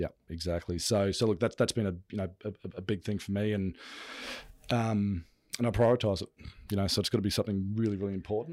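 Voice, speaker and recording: A man with an Australian accent and a fairly low pitch talks at a very fast pace, using fairly even intonation. He takes long, frequent pauses, and the recording is very clean with a silent background. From Brisbane, Australia. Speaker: business executive. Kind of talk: interview.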